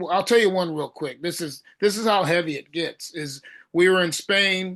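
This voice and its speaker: The speaker has an American accent and a bright, sharp tone, with fairly even intonation. The pace is moderate and the background is quiet. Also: man. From Southern California. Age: 60s. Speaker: thrash metal singer. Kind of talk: interview.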